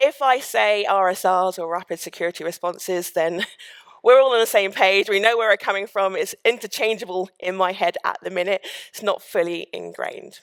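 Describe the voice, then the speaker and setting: A woman with a plain, everyday voice speaks at a fairly quick pace and medium pitch with ordinary pitch variation, in a very clean recording with a silent background and a dry, close sound with no echo. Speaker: sales engineer, conference speaker. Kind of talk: conference talk. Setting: stage with audience.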